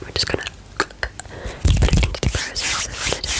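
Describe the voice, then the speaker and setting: Whispering at a fairly slow pace, the speaker is heard through noticeable background noise. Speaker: ASMR artist. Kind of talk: ASMR recipe visualisation. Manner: whispered, up close.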